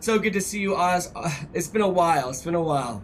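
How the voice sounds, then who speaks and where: In audible room echo, a man talks at a fairly quick pace with ordinary pitch variation. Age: 30s. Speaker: gaming streamer. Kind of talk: live stream chat and gameplay; tutorial. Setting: live stream with on-screen chat. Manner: animated.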